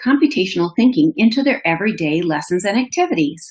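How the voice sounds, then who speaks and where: A woman with a Minnesotan accent speaks in a somewhat breathy voice with very wide pitch swings. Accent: Minnesota. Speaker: education manager and webinar host. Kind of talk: webinar presentation. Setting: online webinar. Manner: animated.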